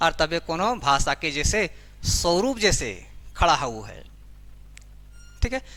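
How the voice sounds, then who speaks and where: A man with a Jharkhand accent, high pitch and a bright, sharp tone. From Jharkhand, India. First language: Khortha (speaking Hindi). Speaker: teacher. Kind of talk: lecture.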